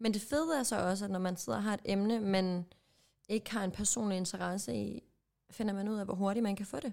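This woman has an unremarkable speaking voice and a medium pitch. She talks at a fairly quick pace. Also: ordinary pitch variation. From Jutland, Denmark. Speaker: podcast co-host. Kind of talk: casual chat.

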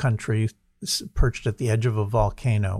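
In a New Jersey accent, a man speaks somewhat breathily at a medium pitch and fairly slow pace with fairly even intonation, the sound dry and close with no echo in a very clean recording with a silent background. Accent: American, New Jersey. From US Northeast (New Jersey). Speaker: author and think-tank president. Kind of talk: podcast interview. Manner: halting, many repetitions.

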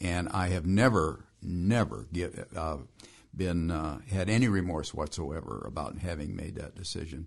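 A man's very deep, low voice with vocal fry, fairly slow pace, ordinary pitch variation and a quiet background. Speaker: engineer. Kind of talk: interview.

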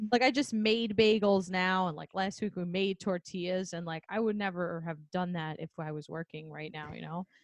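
Dry and close with no echo, a woman's medium-pitched voice moves at a moderate pace with ordinary pitch variation and hardly any pauses. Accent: New York. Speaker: podcast host, speech-language pathologist. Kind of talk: casual chat. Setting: video call.

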